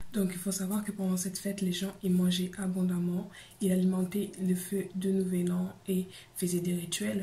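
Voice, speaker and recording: A soft-spoken woman at medium pitch, flat and monotone, at a fairly slow pace with audible room echo. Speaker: YouTuber. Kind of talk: explainer video.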